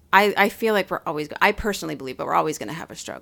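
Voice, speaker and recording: In a very clean recording with a silent background, a woman with a fairly low pitch speaks with vocal fry. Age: 40s. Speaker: podcast co-host. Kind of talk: casual chat.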